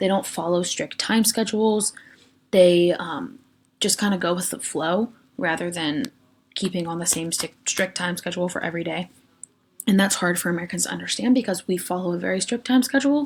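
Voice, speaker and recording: A woman talks in a Western Pennsylvania accent at a fairly quick pace. Her pitch is medium, with ordinary pitch variation. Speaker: education student presenter. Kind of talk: recorded class lecture presentation. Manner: casual, frequent ums.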